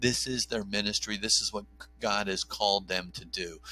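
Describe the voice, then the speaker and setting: With music in the background, a man with an American accent speaks at a fairly low pitch. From New Jersey. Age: 50s. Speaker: OB/GYN doctor and pro-life advocate. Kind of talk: podcast interview.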